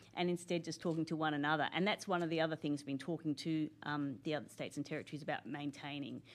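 A woman's very deep, low voice at a very fast pace, hardly any pauses and fairly even intonation. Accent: Australian. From Australia, Canberra. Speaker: senior public servant. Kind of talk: interview.

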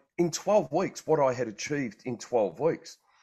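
Against a quiet background, a man with an Australian accent talks at a fairly high pitch with lively intonation. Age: 50s. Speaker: health and wellbeing coach. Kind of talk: casual chat. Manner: halting.

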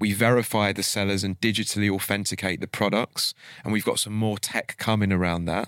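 Fairly quick and monotone, with flat intonation, a man talks at a fairly low pitch in a dry, close sound with no echo on a very clean recording with a silent background. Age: 30s. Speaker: entrepreneur. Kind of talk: casual interview chat. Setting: studio.

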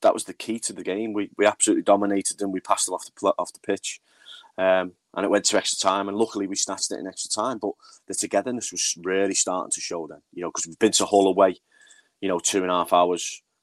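A man with a Liverpool accent speaks very fast at a fairly low pitch, flat and monotone, with big swings in loudness and a dry, close sound with no echo. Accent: sounds like a Liverpool speaker. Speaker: women's football manager. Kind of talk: casual interview.

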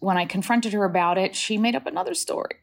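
A woman speaks with a General American accent. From New Hampshire, US, Dominican family. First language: Spanish. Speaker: journalist and author. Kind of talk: interview.

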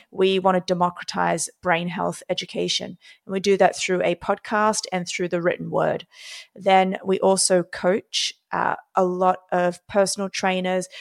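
A woman with an Australian accent at a fairly slow pace, in a dry, close sound with no echo. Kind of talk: interview conversation. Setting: video call.

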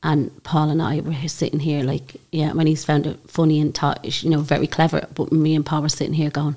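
A woman's very deep, low voice, dark and mellow in tone, with monotone, flat intonation at a moderate pace. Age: 40s. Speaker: podcast host. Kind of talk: casual interview chat.

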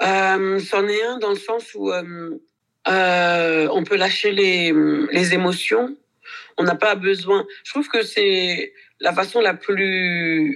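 Her medium-pitched voice has ordinary pitch variation. The woman speaks at a very slow pace, with long, frequent pauses. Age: 40s. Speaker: dancer, actress and dance teacher. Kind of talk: interview. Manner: hesitant, many fillers.

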